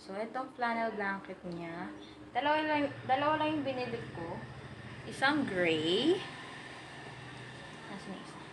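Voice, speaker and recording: Noticeable background noise accompanies a woman who speaks at a very slow pace with lively intonation. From Philippines. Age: 20s. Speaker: vlogger, new mother. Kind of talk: casual talk to camera, product haul. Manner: chatty, Taglish code-switching.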